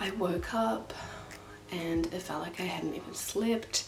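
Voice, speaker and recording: A woman speaks quietly, with audible room echo and noticeable background noise. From New Zealand, northern. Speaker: vlogger. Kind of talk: casual chat. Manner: quiet, low energy; talking louder over fan.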